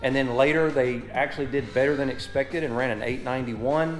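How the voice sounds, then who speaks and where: A man talks with fairly even intonation. Faint music plays in the background. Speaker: car channel host. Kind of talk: casual vlog chat. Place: garage. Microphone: phone near.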